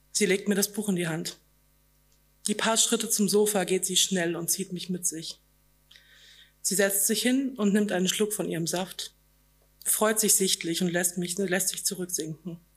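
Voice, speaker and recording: Speaking at a medium pitch, this woman keeps her intonation fairly even and leaves long, frequent pauses. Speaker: author. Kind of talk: reading aloud. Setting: stage with audience.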